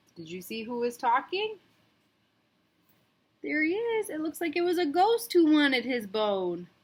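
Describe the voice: A woman speaks at a fairly slow pace in a high pitch with big pitch swings and a slightly mellow tone.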